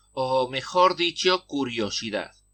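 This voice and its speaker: Against a quiet background, a man talks with lively intonation in a bright, sharp tone. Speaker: podcaster. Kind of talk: personal essay podcast narration.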